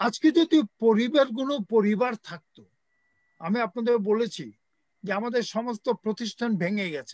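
Against a quiet background, a man with an extremely high pitch and ordinary pitch variation speaks with big swings in loudness in a dry sound with no echo. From Bangladesh. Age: old. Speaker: writer and teacher; teacher. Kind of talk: impassioned speech. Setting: video call. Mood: earnest, critical of lawlessness. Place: home room. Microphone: video call.

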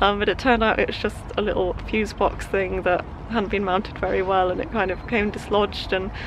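Over noticeable background noise, a woman talks at a fairly quick pace in a monotone, flat intonation, the sound dry with no echo. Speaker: sailing vlogger. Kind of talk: casual vlog chat. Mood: cheerful, relieved. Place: boat. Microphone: phone near.

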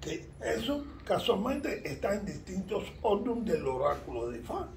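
A man speaks at a very slow pace with audible room echo. Light background noise sits behind him. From Cuba. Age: 70s. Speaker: Ifa priest. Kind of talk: interview. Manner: halting. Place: home room. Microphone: phone near.

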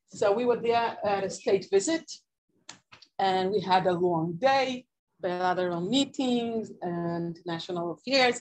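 A woman talks at medium pitch. Her intonation is lively. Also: fairly slow pace. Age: 40s. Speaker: former government official; guest. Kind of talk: talk to an audience; talk to an audience, storytelling. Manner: halting. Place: church. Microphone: camera far.

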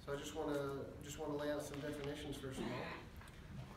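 With audible room echo and clear background noise, a man talks at a fairly quick pace in a fairly high voice.

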